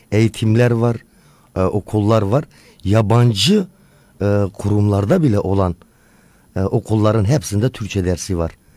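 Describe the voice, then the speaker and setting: A man's fairly low, dark and mellow voice at a fairly quick pace, with long, frequent pauses. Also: ordinary pitch variation. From Turkey. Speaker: tourism business owner. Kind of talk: interview. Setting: radio studio.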